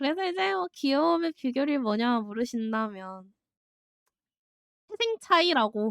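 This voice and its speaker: In a dry, close sound with no echo, a woman speaks at a moderate pace with a high pitch that swings very widely. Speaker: streamer. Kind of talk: live stream Q&A. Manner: chatty.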